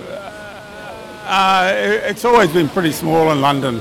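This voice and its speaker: With lively intonation and a moderate pace, a man talks over noticeable background noise. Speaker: anti-war activist. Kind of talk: interview. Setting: outdoors at a rally.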